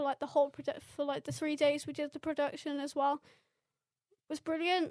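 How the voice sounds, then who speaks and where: A woman speaks at a fairly quick pace. Her voice is high in pitch. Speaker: youth worker. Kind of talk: casual chat. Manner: animated; halting.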